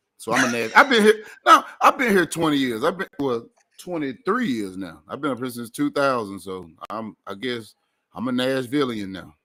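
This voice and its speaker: A man's medium-pitched voice in a Memphis accent, bright and sharp in tone, with very wide pitch swings at a moderate pace. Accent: Memphis accent, kept. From Memphis, Tennessee. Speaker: comedian, radio host. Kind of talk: casual chat.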